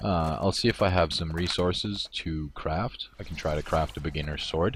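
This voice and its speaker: The speaker has vocal fry and ordinary pitch variation. The pace is moderate. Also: man. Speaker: gaming streamer. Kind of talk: gameplay livestream commentary. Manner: casual with many fillers.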